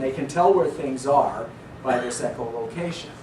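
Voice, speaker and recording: Audible room echo and noticeable background noise both surround a man's speech. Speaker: philosophy lecturer. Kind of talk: lecture.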